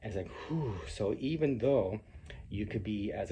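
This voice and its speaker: Somewhat breathy, a man speaks with a fairly low pitch and a dark, mellow tone. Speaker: cartoonist. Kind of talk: casual commentary to camera. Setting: alone recording a video. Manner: halting, with fillers; unscripted.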